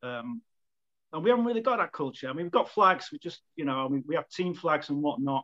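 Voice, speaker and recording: Fast-talking and bright, a man with a Manchester accent speaks at a very fast pace and fairly high pitch with a sharp tone. His pitch swings very widely in a dry, close sound with no echo. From Manchester, England. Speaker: football club volunteer, flag maker. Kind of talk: casual chat.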